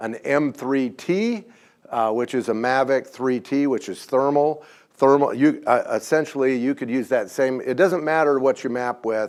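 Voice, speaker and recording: A man speaks at a fairly slow pace in a medium pitch, with ordinary pitch variation. He has a normal speaking voice, and the recording is very clean with a silent background. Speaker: drone company presenter. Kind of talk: presentation to audience.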